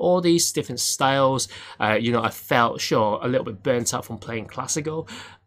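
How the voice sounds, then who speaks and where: Here a man talks at a moderate pace with ordinary pitch variation. The recording is very clean, with a silent background. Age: 30s. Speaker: piano teacher and podcast host. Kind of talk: casual solo talk with advice. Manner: halting, with many fillers.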